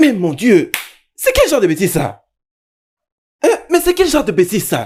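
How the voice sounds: A man does a put-on character voice, high in pitch with very wide pitch swings. His delivery has a moderate pace, a slightly husky edge and a slightly mellow tone.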